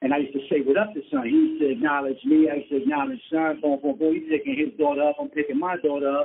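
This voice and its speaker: Someone with a New York accent talks at a very fast pace, with ordinary pitch variation. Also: man. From New York City (Brooklyn and Queens). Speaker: rapper. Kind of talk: casual interview. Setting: phone call.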